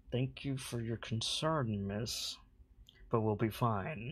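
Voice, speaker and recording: A strained, put-on character voice at a fairly slow pace, on a very clean recording with a silent background. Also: man, medium pitch for a man. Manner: through gritted teeth, strained politeness.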